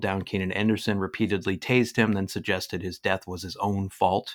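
In a normal speaking voice, a man talks at a fairly quick pace and fairly low pitch on a very clean recording with a silent background. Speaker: interviewer. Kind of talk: interview.

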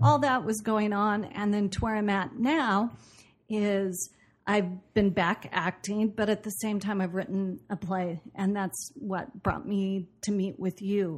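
A woman with an American accent talks at a fairly slow pace in a medium, somewhat breathy voice. Her pitch varies in an ordinary way, and the background is quiet. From US Pacific Northwest, Portland, Oregon. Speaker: actress and producer. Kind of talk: interview conversation.

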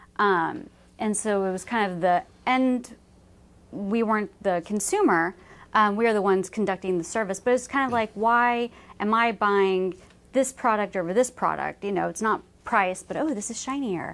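A woman with a plain, everyday voice speaks in an American accent. Her pitch is medium and her pace moderate. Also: ordinary pitch variation. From Dallas, Texas. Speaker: family business communications manager. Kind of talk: casual interview.

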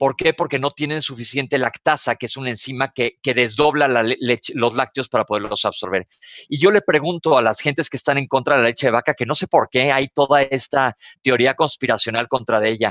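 In a Mexican accent, a man speaks at a medium pitch and a fairly quick pace. His pitch varies in an ordinary way, and the sound is dry and close with no echo. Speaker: doctor and health author. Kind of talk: casual radio chat.

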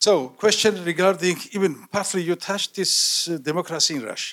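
Speaking with a Georgian accent, a man uses a high pitch. His pace is moderate and his pitch variation ordinary. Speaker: audience member, diplomat. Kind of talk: audience question.

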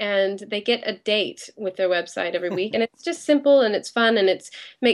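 This woman has a plain, everyday voice at a medium pitch. She talks at a fairly quick pace. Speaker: web company owner. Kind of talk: casual interview chat. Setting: Skype call.

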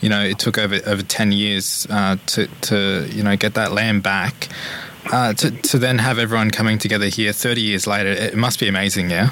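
A man with an Australian accent talks fairly quickly at a fairly low pitch, keeping his intonation fairly even and his loudness very even. Noticeable background noise runs behind him. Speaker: radio host.

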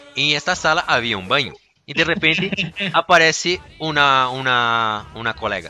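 A man with a Portuguese accent speaks at a fairly high pitch. His tone is bright and sharp, with lively intonation. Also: moderate pace. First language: Portuguese (speaking Spanish). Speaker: podcast host. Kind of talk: casual chat. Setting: studio.

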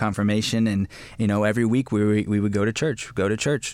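An unremarkable speaking voice with an American accent. The pace is fairly quick. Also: man. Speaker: youth ministry leader. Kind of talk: casual panel discussion.

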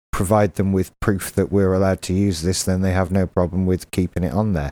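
On a very clean recording with a silent background, a man with an English accent talks in a very deep, low pitch with a dark, mellow tone. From England. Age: 30s. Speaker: podcast host. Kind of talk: casual chat.

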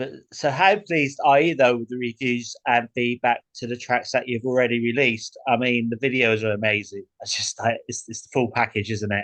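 Speaking at a fairly quick pace with a British accent, this voice shows big swings in loudness, ordinary pitch variation and hardly any pauses. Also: man, medium pitch for a man. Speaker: podcast host. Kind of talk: interview. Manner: enthusiastic.

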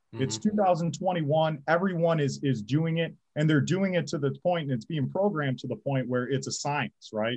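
At a moderate pace, a somewhat breathy man speaks with ordinary pitch variation. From Michigan, St. Clair Shores. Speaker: high school football head coach. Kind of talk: interview.

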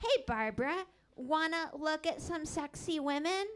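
A woman speaks at an extremely high pitch. Her voice swings very widely in pitch. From Seattle. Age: 20s. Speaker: stand-up comedian. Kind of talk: stand-up. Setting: stage with audience.

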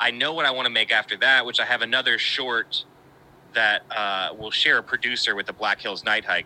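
With an American accent, a man speaks in a plain, everyday voice with ordinary pitch variation, and the sound is dry and close with no echo. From West Virginia. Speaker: filmmaker and editor. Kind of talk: casual chat.

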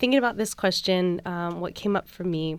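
A woman speaks at a medium pitch with a Californian accent. The recording is very clean, with a silent background. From US West Coast, San Francisco. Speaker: doula. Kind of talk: casual chat.

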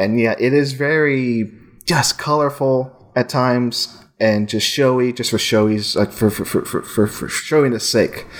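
The delivery comes at a fairly slow pace. Intonation stays fairly even. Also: man, medium pitch for a man. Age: 30s. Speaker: podcast host and film site editor. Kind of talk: casual chat. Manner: halting.

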